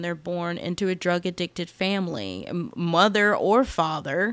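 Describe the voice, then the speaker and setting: A woman in a plain, everyday voice talks with an American accent at a fairly slow pace and ordinary pitch variation. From United States. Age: 20s. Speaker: podcast host. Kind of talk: casual monologue.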